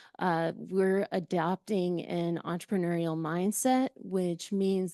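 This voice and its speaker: Speaking very slowly, a woman with a Southern US accent has a medium pitch and a dark, mellow tone. The sound is dry and close with no echo, over a quiet background. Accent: Southern-sounding. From rural central California. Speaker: nonprofit director. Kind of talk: panel discussion.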